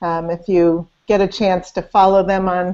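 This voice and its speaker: Speaking fairly slowly in a fairly low pitch, a woman keeps a monotone, flat intonation over a quiet background. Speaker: interview host. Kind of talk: interview introduction. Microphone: video call.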